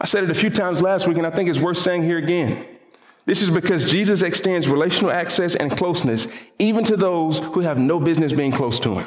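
Talking at a very fast pace in a Southern US accent, a man with a high pitch keeps very even loudness and ordinary pitch variation, with audible room echo and noticeable background noise. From US South. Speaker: pastor. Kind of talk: sermon. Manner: repeats words when thinking aloud.

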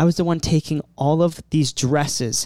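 A man speaks in a normal speaking voice at a fairly high pitch. His pace is moderate and his pitch varies in an ordinary way. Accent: American. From Maryland, US. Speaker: studio producer and musician. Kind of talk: casual chat. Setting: studio.

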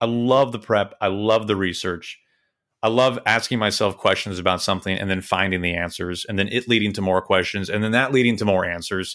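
A man with an unremarkable speaking voice and an American accent talks fairly quickly at a fairly low pitch, keeping his intonation fairly even. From Kansas City. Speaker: baseball play-by-play announcer. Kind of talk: casual interview chat. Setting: recorded remotely, video call.

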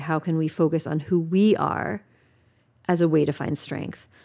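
At a moderate pace, a woman speaks in a very deep, low pitch with a dark, mellow tone and monotone, flat intonation. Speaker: youth village staff leader.

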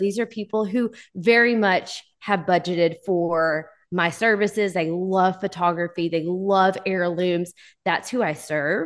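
Medium-pitched speech from a woman with a Texas accent, moderate in pace, with ordinary pitch variation, against a quiet background. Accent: Southern US (Texas). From US South, Texarkana, Texas. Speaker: photographer and educator. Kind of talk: interview.

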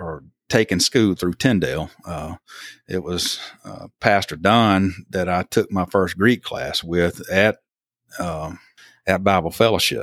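A man with an Alabama accent speaks in a very deep, low voice at a fairly slow pace with fairly even intonation, recorded very cleanly against a silent background with a dry, close sound and no echo. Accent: Southern US (Alabama). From US South, southern Alabama. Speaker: church member, former pipeline electrician. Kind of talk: casual interview. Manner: halting, many fillers.

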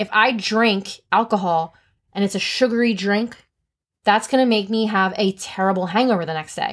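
Speaking with a New Jersey accent at a moderate pace, the voice has an animated tone in a very clean recording with a silent background. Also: woman, medium pitch for a woman. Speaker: podcast co-host. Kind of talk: casual chat.

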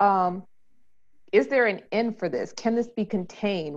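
A woman with an ordinary speaking voice, medium pitch, ordinary pitch variation, and a fairly slow pace against a quiet background. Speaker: podcast host. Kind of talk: casual interview chat.

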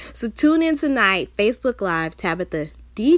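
Speaking fairly slowly in an upbeat tone, a woman with a Southern US accent swings her pitch very widely in a very clean recording with a silent background. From US South. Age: 20s. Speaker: podcast host and motivational speaker. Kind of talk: solo motivational podcast talk. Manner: casual, chatty and upbeat.

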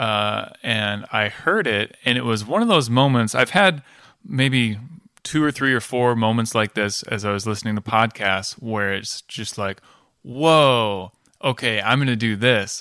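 A man's medium-pitched voice with a bright, sharp tone, fairly slow, with ordinary pitch variation, in a very clean recording with a silent background. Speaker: podcast host. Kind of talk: casual interview. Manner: friendly, conversational.

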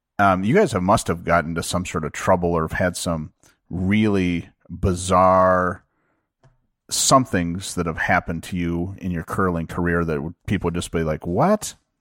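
A man's very deep, low voice with an American accent, fairly even in intonation, at a moderate pace, in a very clean recording with a silent background. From Minnesota. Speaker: podcast host. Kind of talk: casual interview. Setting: home basement bar.

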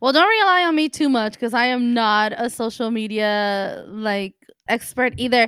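A woman with an unremarkable speaking voice talks at a moderate pace in a fairly high pitch with ordinary pitch variation. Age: 40s. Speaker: podcast co-host and nurse. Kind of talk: casual chat.

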